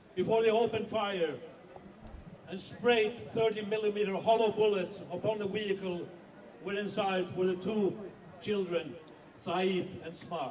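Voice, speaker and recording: With a non-native accent and a high pitch, a man speaks at a moderate pace with fairly even intonation and long, frequent pauses, over noticeable background noise. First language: not English. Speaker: editor-in-chief of a whistleblowing organisation. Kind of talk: rally speech.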